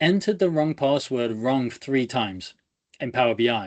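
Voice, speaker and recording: This man talks at a medium pitch with an English Midlands accent. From England, Leicester. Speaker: data engineer, conference speaker. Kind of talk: technical presentation. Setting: video call. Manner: fast; energetic, animated.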